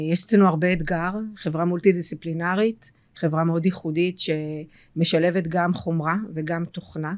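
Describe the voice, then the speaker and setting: The recording is very clean, with a silent background. A woman with a fairly low pitch speaks at a moderate pace in a monotone, flat intonation. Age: 40s. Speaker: tech company CEO. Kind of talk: interview.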